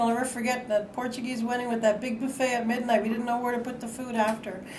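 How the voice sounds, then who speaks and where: A woman talks very rapidly, with noticeable background noise behind her. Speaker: administrative assistant. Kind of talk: interview answer. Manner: humorous, candid.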